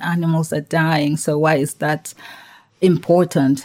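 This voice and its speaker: A woman's very deep, low-pitched voice with a dark, mellow tone. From Tanzania. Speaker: health-tech founder. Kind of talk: interview. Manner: hesitant with frequent fillers.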